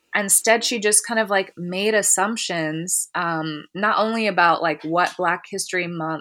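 A woman with a normal speaking voice and an American accent, moderate pace, ordinary pitch variation, on a very clean recording with a silent background. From Columbus, Ohio. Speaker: therapist and social worker. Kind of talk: interview.

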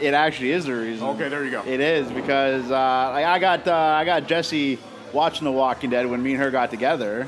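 With a Canadian accent, a man of medium pitch talks at a fairly quick pace with fairly even intonation amid noticeable background noise. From Ontario, Canada (Oshawa). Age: 30s. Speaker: professional wrestler. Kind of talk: casual chat.

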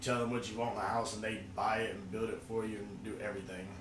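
Very fast speech from a man at medium pitch, audible room echo, noticeable background noise. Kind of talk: casual chat.

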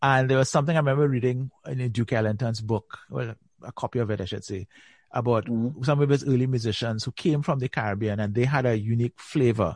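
A man talks at a very fast pace at a medium pitch, with ordinary pitch variation and a somewhat breathy voice. The sound is dry and close with no echo, over a quiet background. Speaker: podcast host and magazine editor. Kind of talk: interview.

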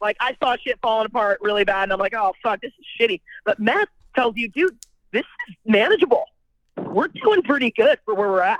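Using an ordinary speaking voice with an American accent, a woman speaks at a fairly high pitch with lively intonation and big swings in loudness. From California. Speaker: person in addiction recovery. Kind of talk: personal testimony.

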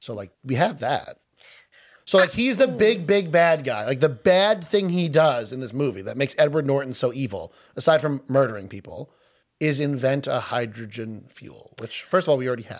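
With a Long Island accent, a man speaks at a moderate pace and a fairly high pitch. His pitch swings very widely and his loudness shifts a lot. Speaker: podcast co-host. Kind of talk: casual chat.

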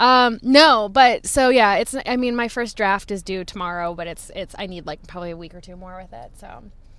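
A woman with a medium pitch speaks at a moderate pace in an ordinary speaking voice, her intonation lively and her loudness swinging widely, with hardly any pauses, on a very clean recording with a silent background. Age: 30s. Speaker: author. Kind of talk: casual interview. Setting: in a parked car.

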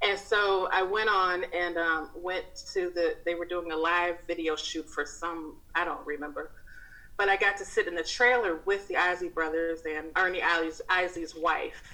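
A woman talks in a plain, everyday voice at a moderate pace. Her pitch sits fairly low, with fairly even intonation. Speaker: writer and podcast host, hairstylist. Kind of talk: casual interview chat.

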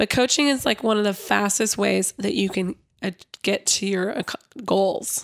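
This woman's voice sits at a medium pitch and carries vocal fry, with ordinary pitch variation. She talks at a fairly slow pace, and the sound is dry and close with no echo. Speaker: podcast co-host. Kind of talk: casual chat.

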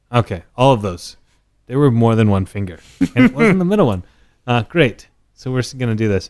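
An American man with a medium pitch talks at a fairly quick pace, his intonation lively and his tone animated. He leaves long, frequent pauses, and the background is quiet. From Texas, Dallas area. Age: 30s. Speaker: whisky brand ambassador. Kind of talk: casual chat.

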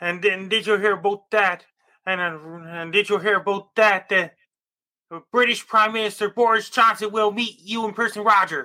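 A man with a high pitch speaks at a moderate pace in a raised, projected voice. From Cape Breton, Nova Scotia, Canada. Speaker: amateur weatherman. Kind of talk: weather report. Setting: video call.

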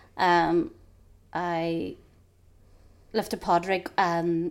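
On a very clean recording with a silent background, a woman speaks with a Northern Irish accent at a fairly low pitch. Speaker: podcast co-host. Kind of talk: casual chat.

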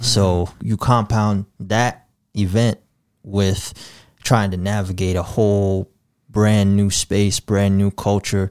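In a very clean recording with a silent background and a dry, close sound with no echo, a man speaks very slowly at a fairly low pitch in a monotone, flat intonation. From Sioux Falls, South Dakota (born in Gambia). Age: 20s. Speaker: community organizer and poetry project leader. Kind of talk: casual interview.

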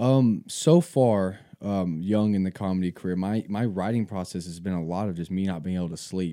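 In a very clean recording with a silent background, a man talks at a moderate pace in a very deep, low pitch with a dark, mellow tone, ordinary pitch variation and hardly any pauses.

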